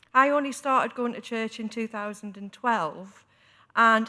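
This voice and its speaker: This woman has a strong Newcastle accent and a fairly high pitch. Her tone is bright and sharp. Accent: strong local Newcastle. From northern England, Newcastle area. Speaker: church synod member and preacher. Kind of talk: debate speech. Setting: synod chamber.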